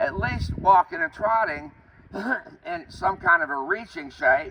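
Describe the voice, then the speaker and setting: A man speaks at a fairly slow pace. There is noticeable background noise. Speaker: riding instructor. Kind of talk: riding lesson.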